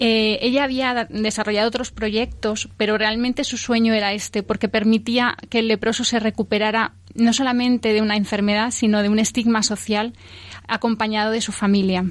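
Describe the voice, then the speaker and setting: A woman speaks at a moderate pace in a fairly high voice, her intonation flat and monotone. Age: 40s. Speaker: exhibition guide and author. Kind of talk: radio interview.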